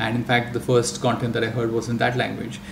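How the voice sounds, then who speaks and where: Speech comes at a very fast pace with a Marathi accent. Background noise is noticeable, along with audible room echo. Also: man. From India (Marathi-speaking region). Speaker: audiobook industry executive. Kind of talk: panel discussion.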